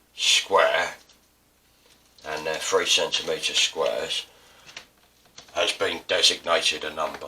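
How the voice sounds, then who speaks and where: A man is speaking. He has an Estuary accent. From England. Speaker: artist and printmaking teacher. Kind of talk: tutorial. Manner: casual. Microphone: poor mic, upgrade expected.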